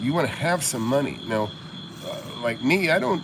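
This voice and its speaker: An American-accented man talks fairly quickly with very wide pitch swings, amid audible room echo and noticeable background noise. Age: 60s. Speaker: real estate investor and mentor. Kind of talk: casual livestream chat. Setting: outdoors by a jacuzzi at night. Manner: halting, many fillers and restarts.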